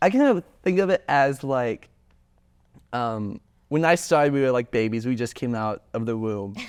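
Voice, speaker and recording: In a very clean recording with a silent background, a man with an American accent and a medium pitch speaks at a moderate pace in an animated tone, with lively intonation and long, frequent pauses. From US South. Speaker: student club founder. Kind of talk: podcast interview.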